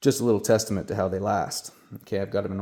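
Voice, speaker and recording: A man's fairly low, dark, mellow voice with a Canadian accent, monotone and flat, at a very fast pace, on a very clean recording with a silent background. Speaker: RC hobbyist content creator. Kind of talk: casual product talk.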